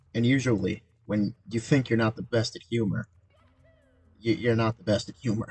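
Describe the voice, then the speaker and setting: A man talks at a medium pitch. Music plays in the background. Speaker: gaming streamer. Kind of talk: casual gameplay livestream commentary. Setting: livestream. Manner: monotone.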